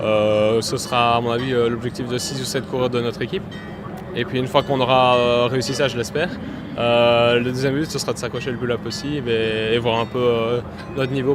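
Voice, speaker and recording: Music plays in the background as a man speaks at a fairly quick pace. His medium-pitched voice stays monotone and flat. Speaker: professional cyclist. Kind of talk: press interview. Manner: hesitant, many fillers.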